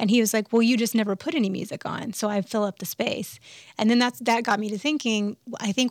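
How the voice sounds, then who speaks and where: An unremarkable speaking voice with an American accent and ordinary pitch variation. The sound is dry and close, without echo. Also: woman. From US South, Alabama. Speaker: musician. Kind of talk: interview conversation. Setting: studio.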